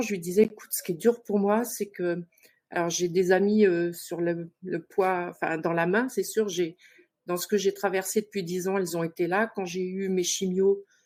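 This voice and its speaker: Speaking at a moderate pace and medium pitch, a woman has a dark, mellow tone and fairly even intonation. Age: 60s. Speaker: participant seeking love advice. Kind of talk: personal testimony on a talk show. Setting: online live show. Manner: hesitant, many fillers.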